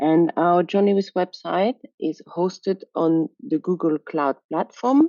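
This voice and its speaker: In a French accent, a woman with a fairly low pitch speaks with ordinary pitch variation. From France. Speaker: software quality engineer. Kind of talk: conference presentation. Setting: video call.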